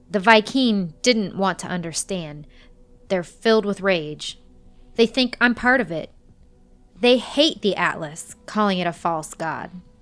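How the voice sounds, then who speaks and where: In a put-on character voice of middle pitch, the speaker sounds soft-spoken and raspy, moving at a fairly slow pace over music in the background. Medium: read story. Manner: soft, weary, measured.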